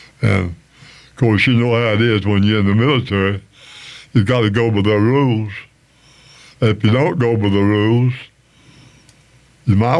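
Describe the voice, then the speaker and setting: Speaking with an Appalachian accent, a man with a fairly low pitch and ordinary pitch variation shows big swings in loudness and long, frequent pauses. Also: moderate pace. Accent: Appalachian Southern US. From US South, North Carolina. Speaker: musician and veteran. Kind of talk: interview.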